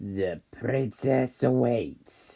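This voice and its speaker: A man uses a put-on character voice, growling at a fairly low pitch. His pitch swings very widely. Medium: read story. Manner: calm, knowing, slightly amused.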